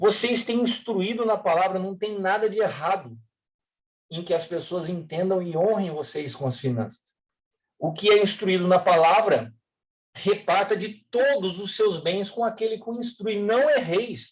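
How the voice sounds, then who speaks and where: A man with a high voice talks at a fairly slow pace, his pitch varying in an ordinary way. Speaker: pastor. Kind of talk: sermon. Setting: online livestream.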